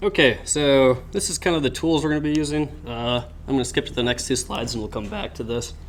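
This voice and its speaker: A man speaks at a very fast pace with hardly any pauses. Room echo is audible. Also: fairly high pitch for a man, ordinary pitch variation. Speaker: cybersecurity club presenter. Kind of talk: lecture. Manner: halting with fillers.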